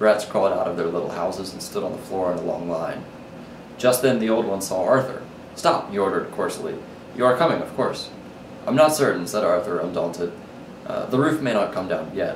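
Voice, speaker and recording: Over noticeable background noise, the speech moves fairly quickly. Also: man. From New Orleans, Louisiana. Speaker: college student. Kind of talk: story reading.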